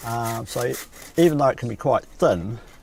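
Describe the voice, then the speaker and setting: A man with a New Zealand accent speaks at a fairly slow pace in a medium-pitched, somewhat breathy voice with lively intonation. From New Zealand, South Canterbury. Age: 60s. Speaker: coffin maker. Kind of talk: documentary interview. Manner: hesitant, with many fillers.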